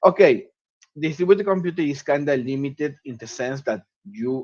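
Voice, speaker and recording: A man with an Argentine accent speaks at a moderate pace. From Argentina, Cordoba. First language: Spanish. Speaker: citizen scientist and astronomy student. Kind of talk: webinar talk. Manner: halting, with frequent fillers.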